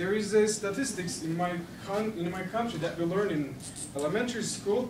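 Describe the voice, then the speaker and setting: With a Turkish accent and a high pitch, a man speaks at a fairly quick pace with ordinary pitch variation, amid noticeable background noise and audible room echo. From Turkey. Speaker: language student. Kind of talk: class presentation. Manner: halting, many restarts.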